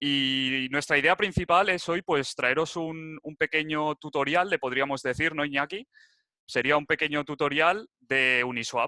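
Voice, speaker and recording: The man talks fairly slowly in a fairly high voice whose pitch varies in an ordinary way. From Spain, Barcelona (Catalonia). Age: 21. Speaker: crypto enthusiast presenter. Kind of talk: tutorial presentation. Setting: video call. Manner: casual, some hesitations.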